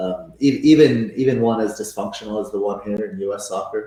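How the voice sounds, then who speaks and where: A man speaks at a medium pitch with a somewhat breathy, dark and mellow tone. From Venezuela and Canada. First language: Spanish. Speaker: football coach. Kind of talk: casual interview chat. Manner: halting, many fillers and repetitions.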